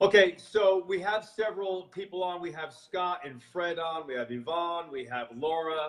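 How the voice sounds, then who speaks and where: A loud, high-pitched male voice with ordinary pitch variation, hardly any pauses and a moderate pace. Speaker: health show host. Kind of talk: live video chat interview. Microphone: quieter than the guest in playback.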